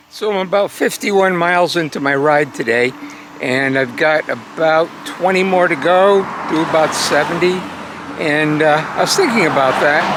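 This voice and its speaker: Noticeable background noise sits behind a man with a fairly high pitch. He speaks at a moderate pace with ordinary pitch variation. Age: 60s. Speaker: cycling vlogger. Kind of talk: travel vlog narration. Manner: casual, halting with fillers.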